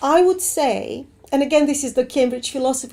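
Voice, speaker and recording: A woman's high-pitched voice in a dark, mellow tone, with a non-native accent and a moderate pace. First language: not English. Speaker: assessment researcher. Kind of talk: webinar Q&A.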